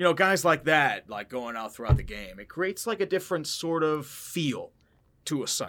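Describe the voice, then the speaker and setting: On a very clean recording with a silent background, a man with a fairly high, bright, sharp voice and vocal fry speaks at a moderate pace, with very wide pitch swings and big swings in loudness. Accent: American. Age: 30s. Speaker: football YouTuber. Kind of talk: casual interview chat.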